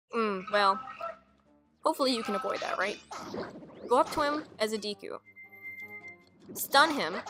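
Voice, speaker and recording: A woman with lively intonation keeps a moderate pace while music plays in the background. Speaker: gaming video creator. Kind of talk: video game let's play commentary.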